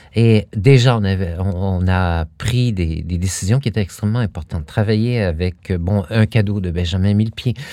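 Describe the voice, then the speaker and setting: Pitched fairly low, a man speaks at a moderate pace with ordinary pitch variation. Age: 50s. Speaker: dance company artistic director. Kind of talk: interview. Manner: halting.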